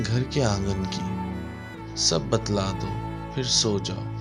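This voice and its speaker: There is music in the background. Over it, a man's intonation is lively. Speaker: radio jockey. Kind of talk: poetry reading. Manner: soft, tender.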